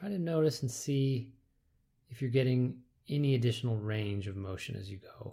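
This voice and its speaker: A man's medium-pitched voice, calm and soothing, dark and mellow, somewhat breathy, with big swings in loudness. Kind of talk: guided movement meditation instruction. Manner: slow, calm, soothing, measured.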